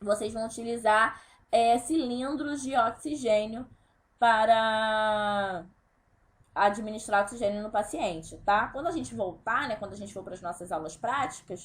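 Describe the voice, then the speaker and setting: A woman speaks at a fairly high pitch and a fairly slow pace, somewhat breathy. Her loudness swings widely while her pitch variation stays ordinary. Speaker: nursing teacher. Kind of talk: recorded online lecture. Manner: deliberately slowing down.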